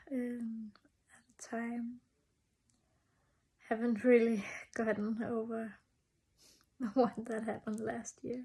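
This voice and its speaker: The speech moves at a very slow pace, broken by long, frequent pauses. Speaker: personal vlogger. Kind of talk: personal reflection monologue. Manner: halting.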